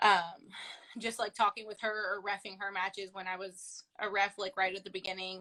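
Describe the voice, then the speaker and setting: A woman talks at a moderate pace in a bright, sharp tone. Her intonation is monotone and flat. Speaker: professional wrestler. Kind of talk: casual interview. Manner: loud and talkative.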